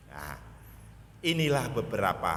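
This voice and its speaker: There is clear room echo and background noise you can easily notice as a man speaks. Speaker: Islamic preacher. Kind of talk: sermon. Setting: mosque.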